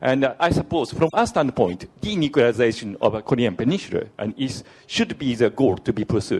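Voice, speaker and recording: The speaker has a Japanese accent and a fairly quick pace. The intonation is lively. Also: man, medium pitch for a man. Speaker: diplomat asking question from audience. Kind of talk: audience question at conference. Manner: halting, many fillers.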